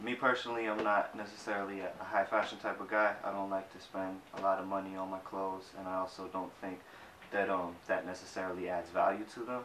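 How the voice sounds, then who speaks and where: Quickening to a fairly quick pace, a man with a fairly low pitch talks in a monotone, flat intonation through noticeable background noise and audible room echo. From Boston, Jamaica Plain. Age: 20s. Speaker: graphic designer. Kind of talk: interview.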